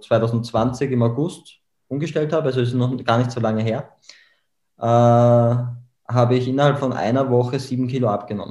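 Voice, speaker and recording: A man with an Austrian accent talks at a moderate pace in a medium pitch, his tone dark and mellow and his intonation fairly even. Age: 20s. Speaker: memory trainer. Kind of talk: podcast interview.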